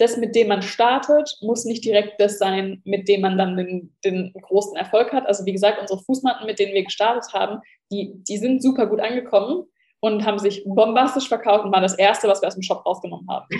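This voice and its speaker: This is an ordinary speaking voice. It moves at a fairly quick pace with fairly even intonation. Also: woman, medium pitch for a woman. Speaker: entrepreneur and online shop owner, former lifestyle blogger. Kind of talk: casual interview conversation.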